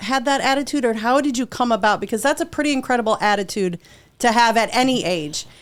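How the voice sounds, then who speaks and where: At a fairly quick pace, a woman speaks in a high pitch with lively intonation. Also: very even loudness. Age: 50s. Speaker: podcast host. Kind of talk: interview.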